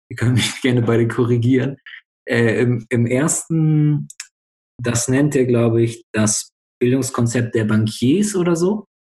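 The man's tone is dark and mellow, somewhat breathy, at medium pitch. He talks at a fairly slow pace with very even loudness. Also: ordinary pitch variation. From northern Germany (Bremen). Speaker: student podcast host, trained educator. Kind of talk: casual discussion podcast.

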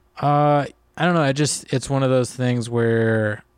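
The speaker has an American accent and fairly even intonation at a moderate pace. The recording is very clean, with a silent background. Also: man. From US Mid-Atlantic, Arlington, Virginia. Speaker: comedian. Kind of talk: casual chat. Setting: studio. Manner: soft-spoken; even, calm delivery.

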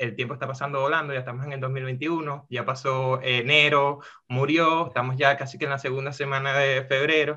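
Over a quiet background, a man with a Venezuelan accent speaks at a moderate pace in a fairly high voice with a bright, sharp tone. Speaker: podcast host. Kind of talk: casual podcast chat.

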